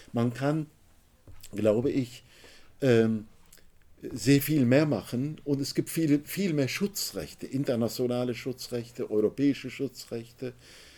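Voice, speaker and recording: A man's dark, mellow, medium-pitched voice with ordinary pitch variation, very slow pace, and long, frequent pauses. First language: Turkish (speaking German). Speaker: author and trade unionist. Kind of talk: book talk. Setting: bookshop event with audience.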